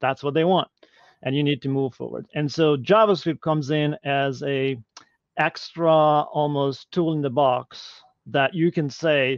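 In a Hungarian accent, the speaker goes at a moderate pace, the sound dry with no echo against a quiet background. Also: man. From Hungary. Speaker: e-learning technology leader; guest. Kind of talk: Q&A interview. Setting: live video stream. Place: home room. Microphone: video call.

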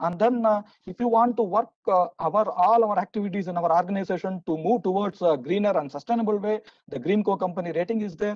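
Against a quiet background, a man talks at a very fast pace in a high pitch. The sound is dry with no echo. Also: ordinary pitch variation. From India. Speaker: session moderator. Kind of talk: conference moderation and talk. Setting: online webinar. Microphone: video call.

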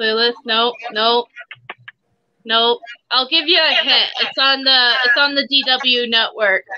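At a very slow pace with long, frequent pauses, a woman with a high pitch and ordinary pitch variation keeps her loudness very even over a quiet background. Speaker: co-host. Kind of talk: casual chat. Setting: video call. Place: home room. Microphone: video call.

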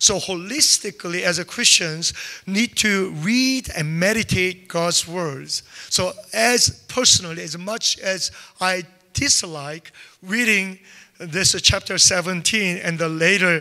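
Against a quiet background, a man raises and projects his voice. He speaks at a very slow pace. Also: ordinary pitch variation. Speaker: preacher. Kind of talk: sermon. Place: church. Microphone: handheld.

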